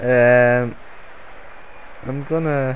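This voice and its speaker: There is noticeable background noise as a man with a Dutch accent talks at a medium pitch. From Netherlands. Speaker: gaming YouTuber. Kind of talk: gameplay commentary. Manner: hesitant, many fillers.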